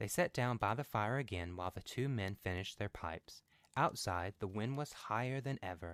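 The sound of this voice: Reading done in an unforced reading voice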